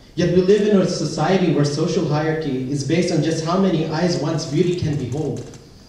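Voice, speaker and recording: A man at a fairly quick pace, with ordinary pitch variation and noticeable background noise. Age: 20s. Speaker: spoken word performer. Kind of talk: spoken word poetry performance at open mic night. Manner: personal, emotional, rhythmic delivery.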